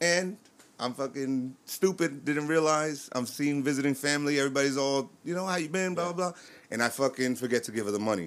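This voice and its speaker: This man has a New York accent and a fairly high pitch. He talks at a fairly quick pace with ordinary pitch variation. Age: 30s. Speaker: DJ and army veteran. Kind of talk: casual chat.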